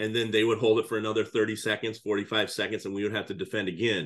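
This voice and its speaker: Speaking with a Midwestern US accent, a man rattles along at a very fast pace with a fairly low pitch. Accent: US Midwest. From Iowa, US Midwest. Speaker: high school basketball coach. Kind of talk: podcast interview.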